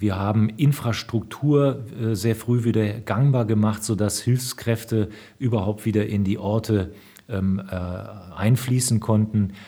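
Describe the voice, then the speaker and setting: A man speaks very slowly in a somewhat breathy, dark, mellow voice, fairly low in pitch with fairly even intonation. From Rhineland, western Germany. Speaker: senior military officer. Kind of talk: interview. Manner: formal.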